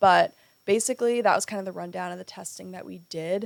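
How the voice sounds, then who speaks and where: Fairly quick speech from a woman at medium pitch. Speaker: lifestyle vlogger. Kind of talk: personal vlog monologue. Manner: casual.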